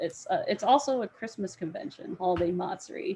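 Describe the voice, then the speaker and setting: An ordinary speaking voice from a woman with an American accent, medium in pitch, at a fairly quick pace. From Florida. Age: 30s. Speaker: cosplayer. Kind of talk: casual chat.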